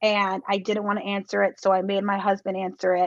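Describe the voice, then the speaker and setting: In a dry, close sound with no echo, a woman talks in a flat, monotone way at a medium pitch. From US. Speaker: Olympic athlete. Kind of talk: interview.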